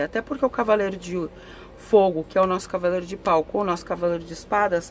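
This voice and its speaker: A woman talks with ordinary pitch variation. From southern Brazil, Porto Alegre. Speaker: tarot reader. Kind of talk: tarot reading. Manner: conversational.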